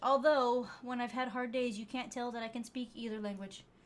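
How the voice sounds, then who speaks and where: A woman with an American accent, fairly high in pitch, fairly quick in pace and monotone and flat in intonation. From United States. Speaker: streamer. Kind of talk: casual chat. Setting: live stream. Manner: hesitant, many repeated words.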